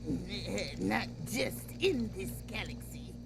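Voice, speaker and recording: Loud music plays in the background. Over it comes a put-on character voice at a very slow pace. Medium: audio drama. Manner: halting, with many filler sounds.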